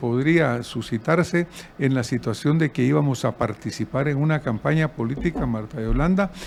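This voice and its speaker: A man's fairly high voice at a moderate pace, with noticeable background noise. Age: 70s. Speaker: presidential candidate. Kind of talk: interview.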